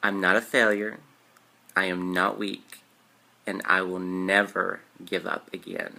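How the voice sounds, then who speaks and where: A man talks at a fairly slow pace in a very deep, low voice with a bright, sharp tone. His intonation is monotone and flat, broken by long, frequent pauses. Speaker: YouTuber. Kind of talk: guided meditation with repeat-after-me affirmations. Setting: solo video to camera. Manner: warm, sincere, chatty. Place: home room. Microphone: webcam.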